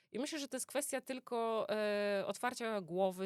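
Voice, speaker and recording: At a fairly quick pace, a woman with a plain, everyday voice uses lively intonation in a dry, close recording with no echo. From Poland, Greater Poland (Poznań). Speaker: oncologist. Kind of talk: interview. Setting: studio.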